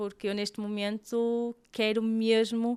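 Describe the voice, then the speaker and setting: A woman talks with a Porto accent in a fairly high voice. The recording is very clean and the background silent. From Portugal, Porto. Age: 30s. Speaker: digital marketing agency owner. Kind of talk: interview conversation.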